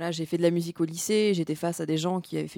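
A woman speaks with a dark, mellow tone at a fairly low pitch. Her voice sounds dry and close, without echo. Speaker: singer-songwriter. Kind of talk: interview. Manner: halting, many hesitations.

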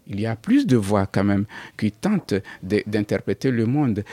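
A man's dark, mellow tone with a non-native accent, fairly slow and lively in intonation, in a dry, close sound with no echo and a very clean recording with a silent background. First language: not French (speaking French). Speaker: writer. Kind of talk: radio interview.

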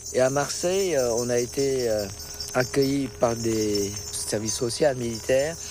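Audible room echo and noticeable background noise surround a man with a Vietnamese accent who speaks very slowly at a medium pitch with ordinary pitch variation. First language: Vietnamese (speaking French). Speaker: immigrant interviewee. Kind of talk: testimony.

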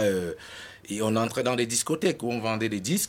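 A man speaks in an ordinary speaking voice at medium pitch, with ordinary pitch variation. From Cameroon. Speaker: rapper. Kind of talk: interview.

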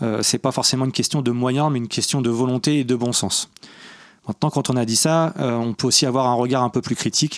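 In a dry, close sound with no echo, a man of medium pitch talks at a fairly quick pace, with fairly even intonation and very even loudness. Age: 40s. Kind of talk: interview. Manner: hesitant, repeats words.

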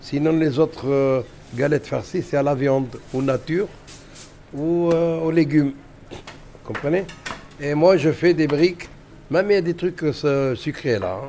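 Over noticeable background noise, a man with a fairly high pitch and ordinary pitch variation speaks at a very slow pace with long, frequent pauses. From Algeria. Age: 70s. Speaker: cook. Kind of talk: cooking demonstration. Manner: halting.

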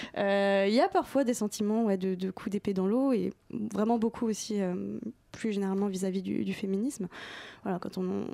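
In a very clean recording with a silent background, a woman speaks with a dark, mellow tone and fairly even intonation. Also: medium pitch for a woman, moderate pace. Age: 20s. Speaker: book programmer and former journalist. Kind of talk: interview.

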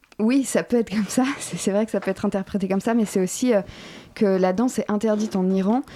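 The woman's tone is dark and mellow, her pitch medium and her intonation fairly even. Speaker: theatre company member. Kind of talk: interview.

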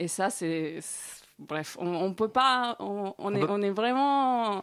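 Her pace very slow, a woman talks at a medium pitch and with ordinary pitch variation. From Colombia. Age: 30s. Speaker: guest. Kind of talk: casual interview chat. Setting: studio.

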